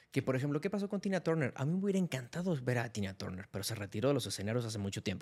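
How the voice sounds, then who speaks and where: A very fast pace with hardly any pauses. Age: 30s. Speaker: music critic and content creator. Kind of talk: casual chat.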